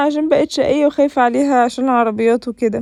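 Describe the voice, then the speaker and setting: A woman speaks at a high pitch. Her tone is dark and mellow. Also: dry, close sound with no echo. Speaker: vlogger. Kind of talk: vlog voiceover narration.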